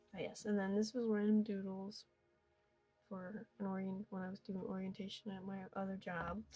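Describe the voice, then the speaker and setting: Music plays in the background as a woman talks at a moderate pace. Her medium-pitched voice is monotone and flat. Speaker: amateur artist. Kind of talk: casual sketchbook tour narration. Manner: casual, rambling.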